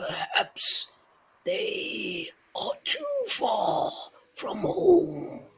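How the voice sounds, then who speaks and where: A raspy, extremely high-pitched put-on character voice at a very slow pace, with long, frequent pauses. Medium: actual play. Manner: slow, gentle.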